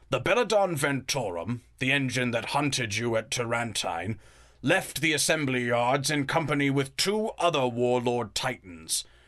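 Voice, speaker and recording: A man's raspy, put-on character voice at a moderate pace against a quiet background. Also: medium pitch for a man. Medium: audio drama.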